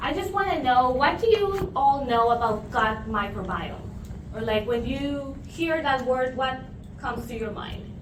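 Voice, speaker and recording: A woman's high-pitched voice with lively intonation at a fairly slow pace, amid audible room echo and noticeable background noise. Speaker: nutrition professor. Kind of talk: lecture. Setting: room with audience, using a mic.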